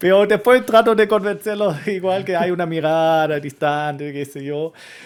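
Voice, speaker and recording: On a very clean recording with a silent background, a man speaks with a German accent in a high pitch. He keeps a moderate pace and ordinary pitch variation. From Germany. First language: German (speaking Spanish). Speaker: historian and university lecturer. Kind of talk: interview conversation. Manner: halting, with frequent repetitions.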